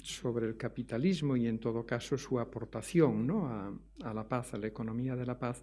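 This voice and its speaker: Here a man speaks in a Galician accent. His voice sits at a medium pitch with a dark, mellow tone. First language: Galician (speaking Spanish). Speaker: economics professor. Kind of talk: lecture. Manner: hesitant, with many fillers.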